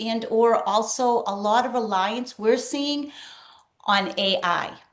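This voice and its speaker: Speaking very slowly, a woman uses a fairly high pitch and ordinary pitch variation, with audible room echo around her. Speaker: spiritual coach. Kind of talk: casual chat.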